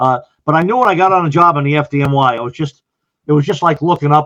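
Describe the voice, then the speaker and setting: Very fast speech in an American accent with ordinary pitch variation. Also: man. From US Northeast, Long Island, New York. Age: 60s. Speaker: retired fire chief. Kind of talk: podcast interview.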